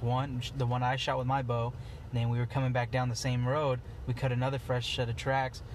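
A man's somewhat breathy, medium-pitched voice at a moderate pace, monotone and flat, with audible room echo. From Eastern Oregon. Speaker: outdoor apparel business founder and hunter. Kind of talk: casual chat. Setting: in a parked car.

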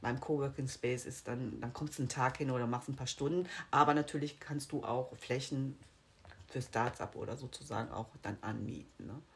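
Her voice is somewhat breathy with a very deep, low pitch. The woman's pitch varies in an ordinary way. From Rhineland, Germany (Bonn). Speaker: real estate sales consultant. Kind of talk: casual interview. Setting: in person with host. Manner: fast.

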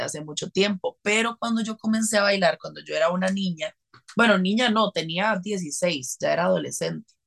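Recorded dry and close with no echo, a woman talks at a fairly quick pace and medium pitch. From Costa Rica. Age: 20s. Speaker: dancer and dance teacher. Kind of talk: interview conversation. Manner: animated.

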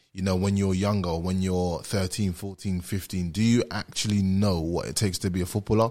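Fairly even intonation carries a man's very deep, low pitch. He keeps a moderate pace. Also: very clean recording, silent background. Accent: British. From London, England. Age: 20s. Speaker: former pro footballer and social media creator. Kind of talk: casual chat. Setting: studio.

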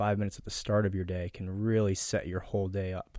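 On a very clean recording with a silent background, a man speaks at a fairly low pitch with monotone, flat intonation. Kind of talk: guided meditation.

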